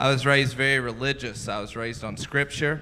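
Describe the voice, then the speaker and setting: In a Southern US accent, the speaker's bright, sharp tone stays flat and monotone. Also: man. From US South, Mississippi. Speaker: stand-up comedian. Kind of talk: stand-up. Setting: comedy club stage with audience.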